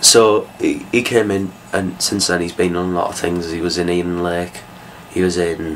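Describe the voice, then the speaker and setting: Over noticeable background noise, a man mumbles at a moderate pace in a very deep, low voice. His intonation is monotone and flat. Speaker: film reviewer. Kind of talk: casual talk to camera. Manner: hesitant, mumbling.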